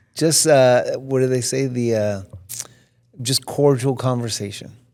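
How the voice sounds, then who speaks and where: A man with an American accent speaks at a medium pitch, his intonation fairly even. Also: fairly slow pace. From Los Angeles. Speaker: fire chief. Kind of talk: interview with teens. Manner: halting, repeats words.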